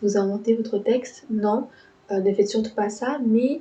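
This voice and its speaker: This is a woman with a fairly high pitch. She talks at a fairly slow pace. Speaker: architecture student youtuber. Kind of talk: tutorial. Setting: home recording, speaking into mic. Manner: hesitant, many filler words; lively, not monotone.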